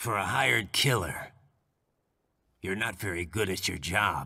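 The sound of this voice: In a very clean recording with a silent background, a man does a put-on character voice, low in pitch with a bright, sharp tone, lively intonation, a slightly husky edge, vocal fry and a slow pace.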